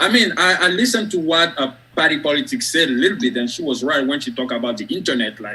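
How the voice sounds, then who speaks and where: A man with a strong French West African accent, very fast delivery, very wide pitch swings and a bright, sharp tone. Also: fairly high pitch for a man. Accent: thick French West African. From Côte d'Ivoire, West Africa. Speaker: academic and author. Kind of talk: interview on live stream.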